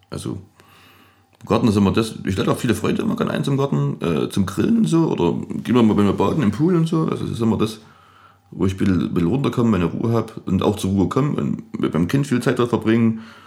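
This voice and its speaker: Over noticeable background noise, a man talks very fast at a fairly low pitch, his pitch swinging very widely. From Saxony, Erzgebirge (Annaberg area). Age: young. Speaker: DJ and music producer. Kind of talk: casual interview. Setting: music studio lounge.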